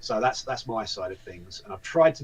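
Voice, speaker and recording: With a British accent, a man talks at a fairly quick pace. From UK. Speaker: voice actor and event volunteer. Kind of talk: casual interview chat. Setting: live video interview.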